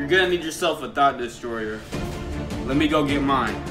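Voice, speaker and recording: A man speaks with clear music in the background. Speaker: youtuber. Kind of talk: casual vlog chat. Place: home room. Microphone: phone near.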